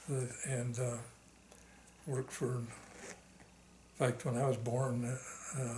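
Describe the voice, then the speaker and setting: Against noticeable background noise and audible room echo, a man with a medium pitch talks in a monotone, flat intonation. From Arizona, US Southwest. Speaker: war veteran. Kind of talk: oral history interview. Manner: halting, many fillers.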